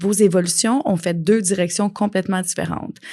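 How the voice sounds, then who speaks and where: With some vocal fry, a woman talks fairly quickly at a medium pitch, her pitch varying in an ordinary way. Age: 40s. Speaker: life coach and podcast host. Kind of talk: podcast monologue. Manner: animated.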